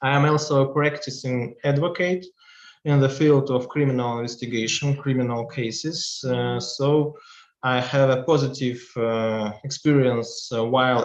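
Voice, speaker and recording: Speaking with a Russian accent, a man talks at a medium pitch and moderate pace with fairly even intonation. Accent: Russian accent, non-native English. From Russia, Chelyabinsk. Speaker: law professor and practicing advocate. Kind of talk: lecture. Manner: halting, many fillers.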